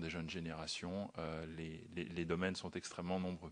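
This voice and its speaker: A man's very deep, low voice in a flat monotone against a quiet background. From France. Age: 40s. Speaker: former private banker, wealth manager. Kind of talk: parliamentary hearing testimony. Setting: committee hearing room. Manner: halting.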